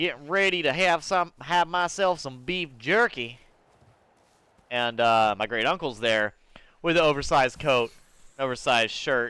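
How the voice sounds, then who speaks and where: Lively intonation and a bright, sharp tone come at a moderate pace with long, frequent pauses, on a very clean recording with a silent background. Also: man, fairly high pitch for a man. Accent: slight Southern. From US South, Georgia (city). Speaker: gaming streamer. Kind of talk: casual chat while gaming. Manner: halting, many fillers.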